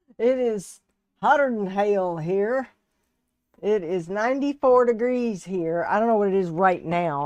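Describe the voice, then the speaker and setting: At a fairly slow pace, a woman speaks with a Southern US accent and ordinary pitch variation. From US South (Texas and Alabama). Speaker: resin artist and live streamer. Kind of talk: casual live stream chat. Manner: chatty, folksy.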